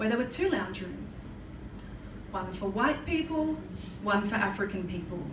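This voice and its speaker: A woman speaks at a fairly high pitch in an Australian accent. Noticeable background noise can be heard. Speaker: spoken word poet. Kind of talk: live spoken word poetry performance. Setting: live venue.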